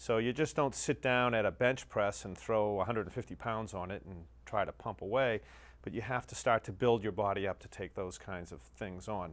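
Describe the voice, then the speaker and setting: This man has an ordinary speaking voice with an American accent, a fairly low pitch, ordinary pitch variation, and big swings in loudness, talking at a moderate pace on a very clean recording with a silent background. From US Northeast, Massachusetts North Shore. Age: 50s. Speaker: fitness client giving a testimonial. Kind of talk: testimony.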